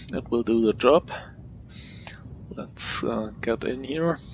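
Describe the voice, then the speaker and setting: Speaking very slowly with a non-native accent, a man at a medium pitch leaves long, frequent pauses. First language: not English. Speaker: video game tutorial creator. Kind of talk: gameplay commentary. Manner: hesitant, many filler words.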